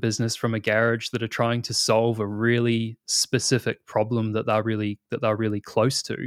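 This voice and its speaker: With a New Zealand accent, a man of medium pitch speaks at a fairly quick pace in a very clean recording with a silent background and a dry, close sound with no echo. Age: 30s. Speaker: product manager. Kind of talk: interview.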